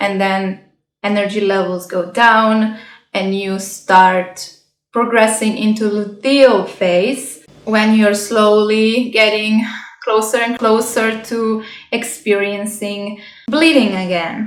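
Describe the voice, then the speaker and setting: Speaking at a very slow pace with a non-native accent, a woman keeps fairly even intonation amid audible room echo. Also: fairly high pitch for a woman. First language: not English. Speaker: health and self-growth vlogger. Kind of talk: casual vlog talk. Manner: halting.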